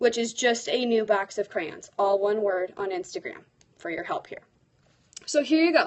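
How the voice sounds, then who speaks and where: A woman with an American accent talks at a moderate pace in an animated tone, her loudness swinging widely and her pitch rising and falling across a very wide range. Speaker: teacher blogger and livestreamer. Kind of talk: live stream chat.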